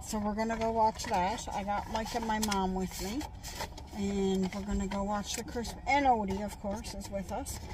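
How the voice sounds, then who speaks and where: A woman speaks fairly slowly and with fairly even intonation while noticeable noise sounds in the background. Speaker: vlogger. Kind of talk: casual vlog chat. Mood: cheerful, chatty. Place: car. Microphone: phone near.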